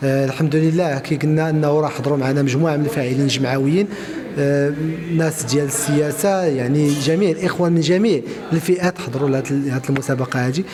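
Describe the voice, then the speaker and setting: The talking goes at a very fast pace with fairly even intonation. Music plays in the background, and room echo is audible. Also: man. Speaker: regional official of a traders' union. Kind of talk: interview. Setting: event at a media library. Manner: halting, many fillers.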